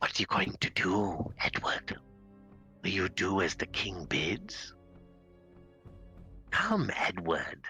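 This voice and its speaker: A whispering, put-on character voice at a very slow pace, with long, frequent pauses and faint music in the background. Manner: whispering and taunting; creepy.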